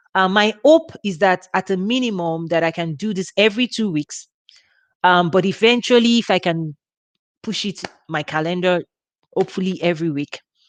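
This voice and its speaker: A woman with a Nigerian accent talks at a moderate pace with long, frequent pauses, in a dry, close sound with no echo over a quiet background. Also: medium pitch for a woman, ordinary pitch variation. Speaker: women's ministry leader. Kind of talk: live workshop talk. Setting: livestream. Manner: informal, relaxed.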